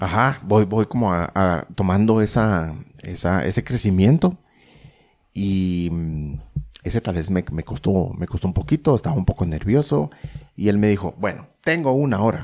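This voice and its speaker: At a fairly slow pace with long, frequent pauses, a man with a fairly low pitch speaks with lively intonation. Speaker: podcaster. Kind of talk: casual chat.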